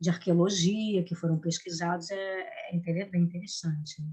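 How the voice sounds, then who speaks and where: Monotone, flat intonation marks a woman's medium-pitched speech. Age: 60s. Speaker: actress and drama teacher. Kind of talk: interview. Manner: halting, with many restarts.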